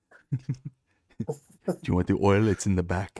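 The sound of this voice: A man puts on a character voice in a Russian accent, husky and fairly low in pitch, with lively intonation at a fairly slow pace, the sound dry and close with no echo.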